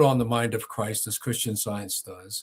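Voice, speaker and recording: Somewhat breathy, the speech runs at a fairly quick pace. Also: man. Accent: American. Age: 70s. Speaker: former cult deprogrammer and author. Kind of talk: casual chat.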